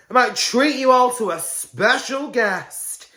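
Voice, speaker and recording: A woman's fairly high voice, bright and sharp in tone, with vocal fry. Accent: British. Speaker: podcast host. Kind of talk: casual chat.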